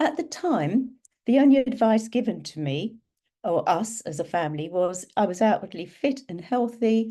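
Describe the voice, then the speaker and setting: A woman speaks at a moderate pace with lively intonation and a dark, mellow tone. The background is quiet. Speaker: patient sharing lived experience. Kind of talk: personal testimony at online talk. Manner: conversational with frequent hesitations.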